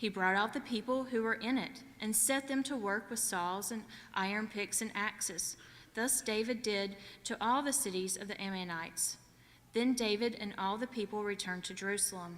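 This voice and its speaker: A woman speaks with a Southern US accent at a moderate pace. Her pitch is fairly high and her intonation fairly even. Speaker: scripture reader. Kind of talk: reading aloud. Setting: church.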